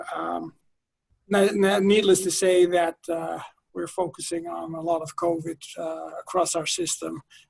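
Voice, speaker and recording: A man talks at a fairly slow pace with a Dutch accent. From Netherlands. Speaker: healthcare marketing executive. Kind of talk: webinar panel talk. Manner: hesitant, many fillers.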